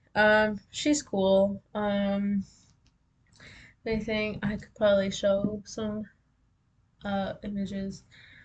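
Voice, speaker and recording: Speaking at a very slow pace with long, frequent pauses, a woman with a medium pitch sounds somewhat breathy, her intonation monotone and flat and her loudness swinging widely. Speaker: vlogger. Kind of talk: casual monologue, journal-style. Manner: halting, many fillers.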